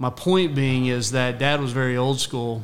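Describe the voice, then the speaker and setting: Amid audible room echo, a man with an American accent speaks at a fairly slow pace and a medium pitch. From Texas, Rockwall. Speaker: guest. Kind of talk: casual chat. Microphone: far from the mic.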